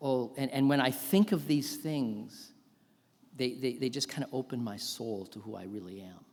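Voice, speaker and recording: At a moderate pace, a man with a medium pitch speaks with lively intonation and big swings in loudness. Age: 60s. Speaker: professor of theology, chapel speaker. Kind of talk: sermon. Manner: animated.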